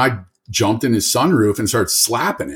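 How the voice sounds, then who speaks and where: A somewhat breathy, fairly low male voice with lively intonation in a very clean recording with a silent background. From northern Michigan, US. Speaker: powerlifter and gym owner. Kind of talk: casual interview. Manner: articulate.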